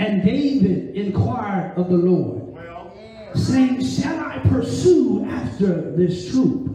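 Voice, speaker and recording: A man talks in an animated tone. Light background noise and strong room echo surround his voice. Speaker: preacher. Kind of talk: sermon with call-and-response. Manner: animated, urgent, exhorting the listeners; repetitive, rhythmic preaching cadence. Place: church.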